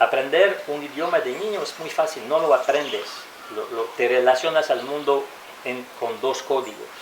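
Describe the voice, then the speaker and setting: A man speaks at a moderate pace with a fairly high pitch and ordinary pitch variation. The room echo is audible, and background noise is noticeable. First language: French and English (speaking Spanish). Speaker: interviewee, foreign resident. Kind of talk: interview. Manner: halting, self-correcting.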